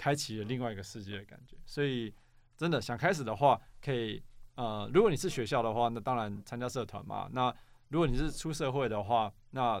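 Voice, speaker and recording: Moving at a fairly quick pace, a man uses an unremarkable speaking voice pitched in the medium range, with ordinary pitch variation. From Taiwan, New Taipei (Xinzhuang). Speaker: app startup co-founder, former engineer. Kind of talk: casual interview.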